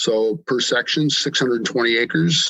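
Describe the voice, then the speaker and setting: Speaking with an Upper Midwest US accent, a man has a medium pitch and ordinary pitch variation. His pace is moderate. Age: 60s. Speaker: hunter and farmer. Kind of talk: podcast interview. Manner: halting, many fillers.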